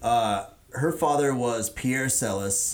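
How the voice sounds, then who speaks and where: In an American accent, a man talks at a very slow pace with ordinary pitch variation. Room echo is audible. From Houston, Texas. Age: 30s. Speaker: craft beer expert. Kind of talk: casual chat.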